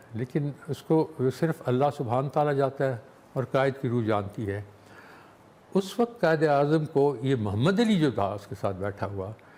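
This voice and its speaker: Very wide pitch swings mark this man's fairly high voice. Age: 80s+. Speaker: war veteran. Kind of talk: interview. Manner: halting.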